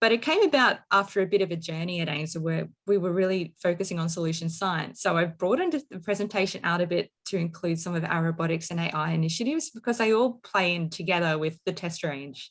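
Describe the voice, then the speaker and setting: A very fast woman with an Australian accent and a fairly low voice, ordinary pitch variation, and hardly any pauses. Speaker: marine engineer presenting research technology. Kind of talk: technical presentation.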